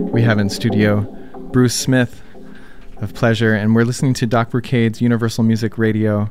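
With music in the background, a man speaks at medium pitch. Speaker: radio host. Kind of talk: radio DJ patter, station IDs and guest intros between tracks. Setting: studio.

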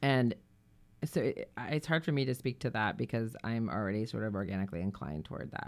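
A woman's very deep, low voice with vocal fry, very wide pitch swings and a fairly quick pace. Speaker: radio host. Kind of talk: casual chat.

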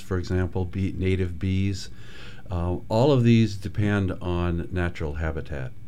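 Amid audible room echo, a man with a very deep, low pitch and a dark, mellow tone speaks at a fairly slow pace. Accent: American. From Michigan, US Midwest. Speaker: ecologist. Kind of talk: radio interview. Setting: radio studio.

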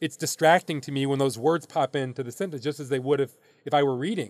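Here a man with an American accent talks at a very fast pace and a fairly high pitch. His pitch varies in an ordinary way. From US Midwest. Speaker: baseball league commissioner. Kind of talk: interview.

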